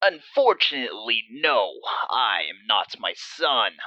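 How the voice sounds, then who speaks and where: A man puts on a character voice. He talks at a fairly slow pace. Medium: read story. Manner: gloating.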